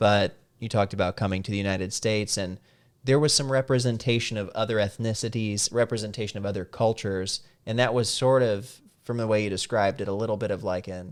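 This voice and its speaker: In a very clean recording with a silent background, a man speaks very fast at a fairly low pitch with fairly even intonation. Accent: Midwestern American. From US Midwest (Salem, Missouri). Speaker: podcast host. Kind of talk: casual interview chat. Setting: studio.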